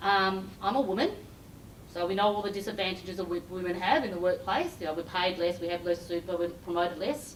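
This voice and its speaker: Speaking very fast with an Australian accent, a woman keeps a medium pitch and ordinary pitch variation. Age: 50s. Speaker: recruiter and career coach. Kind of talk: corporate keynote talk. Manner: animated.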